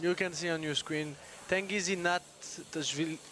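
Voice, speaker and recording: Music in the background behind a man with a French accent, fairly high pitch and fairly even intonation. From France. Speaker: arm wrestling commentator. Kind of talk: live commentary.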